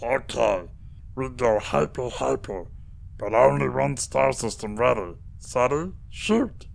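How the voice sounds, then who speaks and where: Doing a put-on character voice, a man speaks in a croaky tone at a fairly slow pace over light background noise. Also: medium pitch for a man. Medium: read story. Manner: broken, clipped speech.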